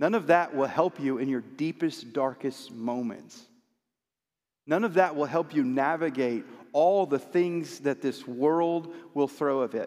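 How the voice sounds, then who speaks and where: Using an unremarkable speaking voice, a man talks fairly slowly at a fairly high pitch with ordinary pitch variation. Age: 40s. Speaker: pastor. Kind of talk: sermon. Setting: church.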